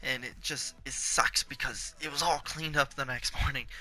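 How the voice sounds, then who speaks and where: A man's intonation stays monotone and flat while music plays in the background. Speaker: YouTuber. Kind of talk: story time. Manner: casual, repetitive halting.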